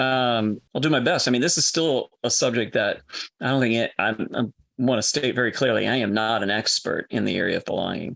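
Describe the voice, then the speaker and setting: At a fairly quick pace, the voice shows vocal fry and ordinary pitch variation. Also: man. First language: French. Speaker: enneagram coach and former minister. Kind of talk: podcast interview conversation.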